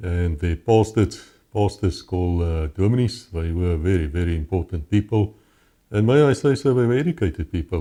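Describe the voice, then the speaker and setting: A man with a South African accent and a very deep, low pitch, dark and mellow in tone, lively in intonation at a fairly quick pace, over a quiet background. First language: Afrikaans. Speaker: former police officer. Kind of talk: interview testimony.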